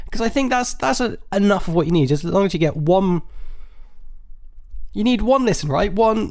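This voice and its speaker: Loud and mumbling, a man with an English accent and a high pitch for a man talks with long, frequent pauses. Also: lively intonation, moderate pace. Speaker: podcast host. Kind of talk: live solo comedy podcast. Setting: live stream.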